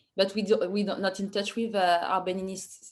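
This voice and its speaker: A woman speaks with a strong French accent and fairly even intonation. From France, Paris suburbs. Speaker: artist. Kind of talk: Q&A talk about own work. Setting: virtual online event. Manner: halting, many fillers.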